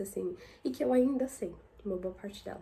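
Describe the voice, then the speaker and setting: A woman speaks in a dark, mellow tone. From São Paulo city, Brazil. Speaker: YouTuber. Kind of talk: casual vlog monologue.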